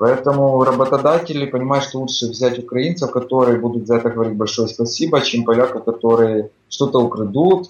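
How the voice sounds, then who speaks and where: This man has an ordinary speaking voice at a medium pitch. He talks at a fairly quick pace. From Ukraine. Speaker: migrant construction worker. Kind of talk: casual interview chat. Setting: Skype call.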